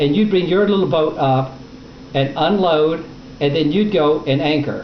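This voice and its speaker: A man's fairly high voice at a moderate pace, with ordinary pitch variation, very even loudness, long, frequent pauses and noticeable background noise. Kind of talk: interviewer questions.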